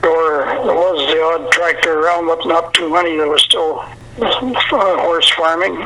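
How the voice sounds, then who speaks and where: Noticeable background noise sits under a fairly slow voice with a Canadian prairie accent and ordinary pitch variation. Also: man, high pitch for a man. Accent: rural Canadian prairie. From Canada, Manitoba prairies. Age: 90s. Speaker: country songwriter and retired farmer. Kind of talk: interview.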